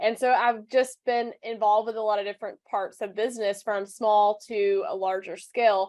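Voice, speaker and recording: Her fairly high voice carries a Southern US accent, moving at a moderate pace with hardly any pauses. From US South. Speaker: personal branding coach. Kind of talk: interview. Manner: animated.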